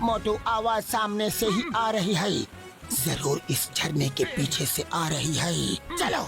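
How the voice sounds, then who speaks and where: Over clear background music, a cartoonish character voice at middle pitch moves at a fairly slow pace. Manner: calm, instructive.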